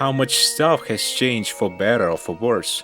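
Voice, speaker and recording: Music in the background behind a man's moderate-paced speech. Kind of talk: video essay narration. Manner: casual, reflective.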